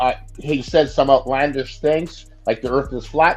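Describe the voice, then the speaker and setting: With music in the background, a man speaks at a fairly high pitch. His intonation is fairly even. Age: 60s. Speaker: caller on sports show. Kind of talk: casual opinion talk.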